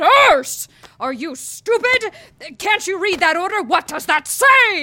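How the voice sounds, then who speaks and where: A woman shouts in a put-on character voice at an extremely high pitch, with very wide pitch swings. Her pace is fairly slow. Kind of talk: authoritative, commanding. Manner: yelling, angry, scolding.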